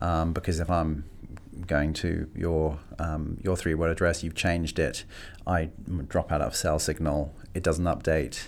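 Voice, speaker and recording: At a fairly slow pace, a man with a London accent speaks in monotone, flat intonation at a very deep, low pitch. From London (Greenwich). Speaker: tech company marketing executive. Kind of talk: interview. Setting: studio. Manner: hesitant, many fillers and repeats.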